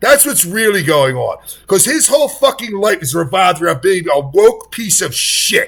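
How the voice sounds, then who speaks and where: High-pitched male voice with very wide pitch swings and an animated tone, at a moderate pace. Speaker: political commentator. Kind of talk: reaction commentary. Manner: loud, yelling.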